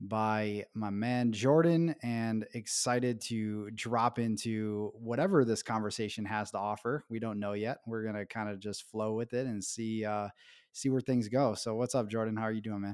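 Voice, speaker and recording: A man with a plain, everyday voice speaks at a moderate pace and medium pitch, with hardly any pauses. His intonation is fairly even, and the recording is very clean with a silent background. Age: 30s. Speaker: podcast host, men's coach. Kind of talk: scripted intro and promo; interview conversation.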